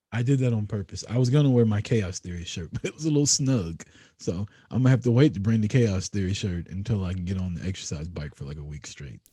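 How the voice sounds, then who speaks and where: Soft-spoken and somewhat breathy, a man talks at a very fast pace in a dark, mellow tone with lively intonation. The recording is very clean with a silent background. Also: fairly low pitch for a man. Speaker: podcast co-host. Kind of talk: casual chat.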